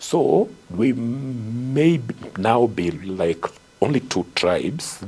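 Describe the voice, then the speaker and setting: Against noticeable background noise, a man with a medium-pitched voice speaks very slowly with lively intonation. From Kenya. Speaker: hydrogeologist and author. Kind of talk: interview answer.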